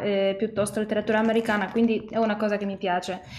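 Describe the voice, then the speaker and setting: A woman with a Polish accent, fairly high pitch and a flat monotone over faint background music. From Poland. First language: Polish (speaking Italian). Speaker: singer-songwriter; interviewee. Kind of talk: interview. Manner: halting, with many hesitations. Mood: calm, friendly. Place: home room. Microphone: video call.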